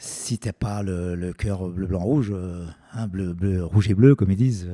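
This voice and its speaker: In a dark, mellow tone, a man speaks at a very deep, low pitch and a fairly slow pace. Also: ordinary pitch variation. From France, Lyon. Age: 60s. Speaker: stadium announcer. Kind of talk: interview. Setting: his art studio. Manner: halting, many hesitations.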